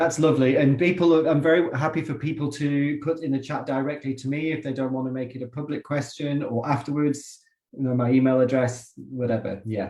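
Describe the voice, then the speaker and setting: At a fairly quick pace, a man speaks with a fairly high pitch and fairly even intonation. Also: hardly any pauses. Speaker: education researcher and professor. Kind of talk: casual chat before online seminar.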